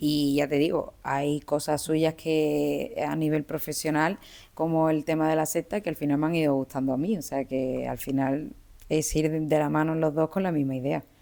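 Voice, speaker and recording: A woman with an Andalusian accent, very deep and low in pitch, with a dark, mellow tone, a calm delivery and fairly even intonation. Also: moderate pace. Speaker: criminologist. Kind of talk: interview.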